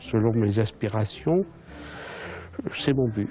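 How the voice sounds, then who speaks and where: Over music in the background, a man talks at a very slow pace and a medium pitch. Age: 60s. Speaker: volunteer activist. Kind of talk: documentary interview. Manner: hesitant, many fillers.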